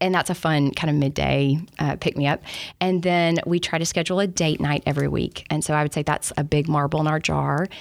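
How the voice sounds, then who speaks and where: Speaking in a Southern US accent at a fairly quick pace, a woman has a very deep, low pitch and monotone, flat intonation. Her loudness is very even, and the recording is very clean with a silent background. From Alabama. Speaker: business executive. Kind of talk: podcast interview. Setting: studio.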